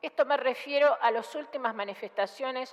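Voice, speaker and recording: A woman with an unremarkable speaking voice and lively intonation, at a fairly slow pace. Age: 60s. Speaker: senator. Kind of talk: parliamentary speech. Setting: senate chamber. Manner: formal.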